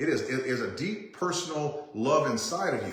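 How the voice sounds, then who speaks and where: A man speaks loudly and in an animated tone with lively intonation. His pace is moderate, and room echo is audible. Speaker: chiropractor coaching other chiropractors. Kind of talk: live stream talk. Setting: live stream. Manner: loud and direct; animated, repetitive restarts.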